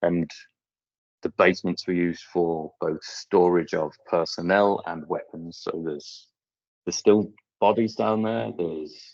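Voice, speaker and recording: This man has an English accent and a very deep, low pitch. His intonation stays fairly even. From England. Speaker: munitions clearance specialist. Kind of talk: conference presentation and Q&A. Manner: fast.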